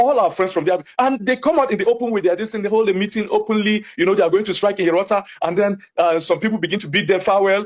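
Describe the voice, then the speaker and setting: A man's high-pitched voice in a Nigerian accent, very fast and lively in intonation. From Nigeria, Jos (Plateau State). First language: Hausa. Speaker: community spokesman. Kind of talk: TV interview. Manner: impassioned.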